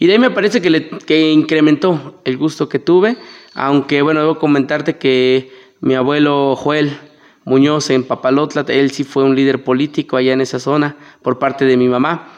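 A normal speaking voice from a man, fairly high in pitch, at a moderate pace with very even loudness and fairly even intonation. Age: 30s. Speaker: political candidate. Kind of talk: interview. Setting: studio.

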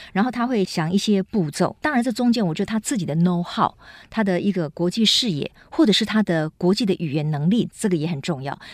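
Using a plain, everyday voice, a woman speaks fairly quickly at a medium pitch with lively intonation, the sound dry and close with no echo. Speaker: radio host. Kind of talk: radio interview.

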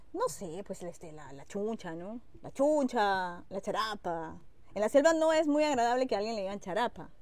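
A woman's voice shows big swings in loudness and very wide pitch swings. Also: medium pitch for a woman, moderate pace. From Peruvian Amazon. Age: 40s. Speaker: TV news reporter. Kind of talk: casual chat. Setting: outdoors by a pool at a home.

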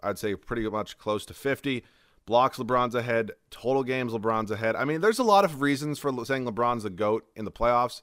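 In a very clean recording with a silent background, a man speaks in a plain, everyday voice at medium pitch and a fairly quick pace. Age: 20s. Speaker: solo sports podcaster and video creator. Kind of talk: casual solo monologue.

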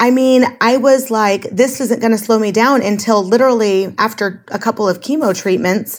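An ordinary speaking voice at a moderate pace, with hardly any pauses and fairly even intonation. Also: woman, fairly high pitch for a woman. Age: 40s. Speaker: life coach guest, former hospitality worker. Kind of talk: casual interview.

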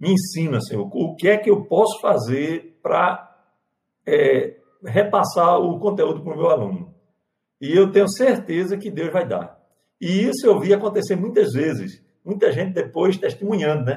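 Lively intonation from a high-pitched man at a moderate pace. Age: 50s. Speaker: pastor. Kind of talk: panel discussion.

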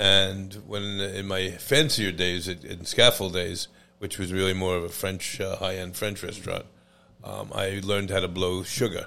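A man with an American accent speaks at a very deep, low pitch with a bright, sharp tone. His delivery is monotone and flat at a fairly slow pace. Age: 60s. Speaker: chef and restaurant owner. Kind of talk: casual interview chat.

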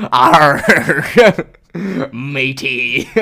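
A man performs a put-on character voice. It sits fairly high in pitch. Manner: playful, stock pirate voice.

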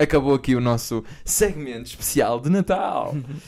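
Lively in intonation, a man speaks at a fairly high pitch. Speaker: podcast host. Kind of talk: casual chat. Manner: animated.

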